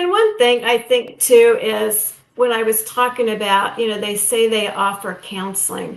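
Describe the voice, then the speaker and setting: A woman with a normal speaking voice, a fairly high pitch, a fairly slow pace and hardly any pauses. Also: fairly even intonation. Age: 60s. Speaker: guest sharing post-abortion experience. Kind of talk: testimony.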